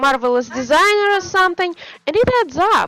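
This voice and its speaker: A woman speaks at an extremely high pitch in a Russian accent. Her pitch swings very widely. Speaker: game developer streamer. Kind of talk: casual chat. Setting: live stream. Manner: halting.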